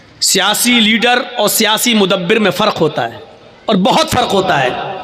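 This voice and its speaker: Raising and projecting his high voice over noticeable background noise, a man speaks with ordinary pitch variation. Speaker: Islamic preacher. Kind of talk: religious speech. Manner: slow, deliberate.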